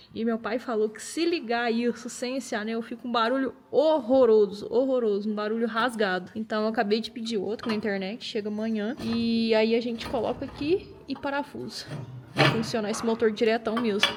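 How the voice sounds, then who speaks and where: A woman at a fairly high pitch and moderate pace, with hardly any pauses, over noticeable background noise. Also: fairly even intonation. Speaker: car restoration youtuber. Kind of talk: casual workshop vlog.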